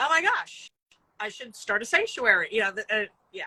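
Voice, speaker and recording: A loud, fairly high woman's voice with a bright, sharp tone, dry and close with no echo. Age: 50s. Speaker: rock music publicist and animal sanctuary founder. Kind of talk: casual interview. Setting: video call from outdoors in a cattery.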